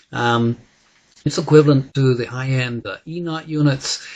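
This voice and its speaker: The man's voice is somewhat breathy and medium in pitch. His intonation stays fairly even. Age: 60s. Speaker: wellness coach and device trainer. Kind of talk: sales pitch. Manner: halting, many fillers.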